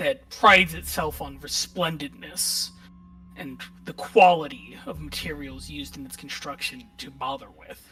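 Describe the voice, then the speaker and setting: Someone puts on a raspy character voice at a middle pitch and a moderate pace. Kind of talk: horror narration. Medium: actual play. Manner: calm, descriptive.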